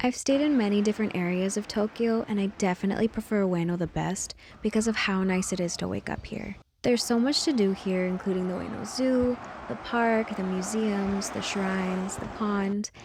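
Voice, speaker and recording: At a moderate speed, a woman with a medium pitch and ordinary pitch variation sounds somewhat breathy. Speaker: travel vlogger. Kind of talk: travel vlog. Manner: animated.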